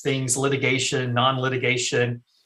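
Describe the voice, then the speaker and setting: A man with a North Carolina accent, a fairly high pitch and a bright, sharp tone. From eastern North Carolina. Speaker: estate planning attorney. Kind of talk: interview. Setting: call.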